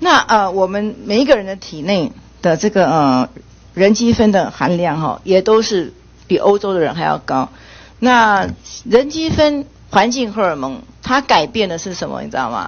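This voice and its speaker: With vocal fry and big swings in loudness, a woman speaks at a medium pitch and a moderate pace. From Taiwan. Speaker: legislator. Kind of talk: parliamentary questioning. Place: meeting room. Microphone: podium.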